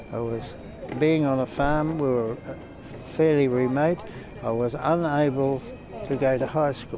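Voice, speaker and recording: A man's fairly high voice with fairly even intonation, long, frequent pauses, and noticeable background noise. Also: fairly slow pace. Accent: Australian. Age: 90s. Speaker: war veteran. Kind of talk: interview. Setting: outdoors at a parade.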